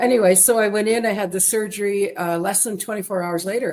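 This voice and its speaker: With a Canadian accent, a woman talks very fast at a medium pitch, her intonation lively. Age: 60s. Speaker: interviewee sharing weight-loss story. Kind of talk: interview testimony.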